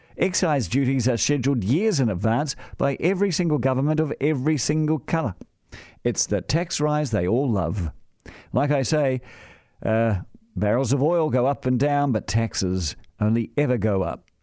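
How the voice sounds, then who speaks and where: A man with a New Zealand accent speaks at a moderate pace with lively intonation and very even loudness. The recording is very clean, with a silent background. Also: medium pitch for a man. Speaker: radio host. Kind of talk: opinion monologue.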